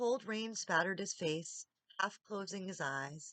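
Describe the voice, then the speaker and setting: With a normal speaking voice, a woman talks at a moderate pace and with ordinary pitch variation, the sound dry and close with no echo. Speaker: audiobook reader. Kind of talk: audiobook reading.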